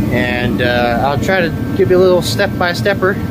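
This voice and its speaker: Fairly slow speech with a dry, echo-free sound and loud background noise. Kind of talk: casual DIY vlog narration. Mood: relaxed, joking. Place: garage. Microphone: phone near.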